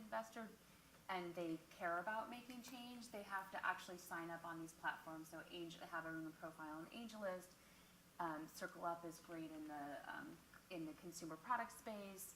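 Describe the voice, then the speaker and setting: Lively intonation at a fairly quick pace, with audible room echo and noticeable background noise. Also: woman. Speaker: crowdfunding platform executive. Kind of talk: panel discussion. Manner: loud. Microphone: mic off, then too far from the mic.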